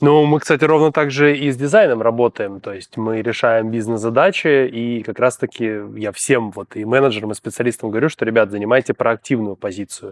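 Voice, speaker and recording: Speaking at a fairly quick pace with hardly any pauses, a man shows ordinary pitch variation and big swings in loudness in a dry sound with no echo. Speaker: podcast host. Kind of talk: interview. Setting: studio. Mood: friendly, smiling. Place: studio.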